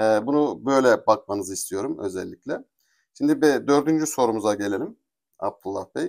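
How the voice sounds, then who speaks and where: A man with a normal speaking voice talks at a moderate pace with lively intonation. The recording is very clean, with a silent background. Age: 40s. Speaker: interviewer, channel host. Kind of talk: interview.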